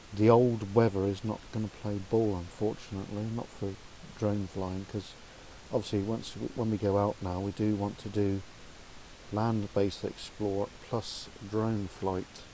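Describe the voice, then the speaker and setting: A man's fairly low, monotone voice with flat intonation at a fairly slow pace, against noticeable background noise. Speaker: YouTuber. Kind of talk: tutorial. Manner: loud; casual.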